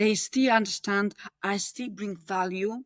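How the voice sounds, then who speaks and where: A speaker with a strong Polish accent talks at a moderate pace. The pitch rises and falls in an ordinary way. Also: woman, dry, close sound with no echo. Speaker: podcast guest, corporate employee in multicultural workplace. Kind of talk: podcast interview conversation.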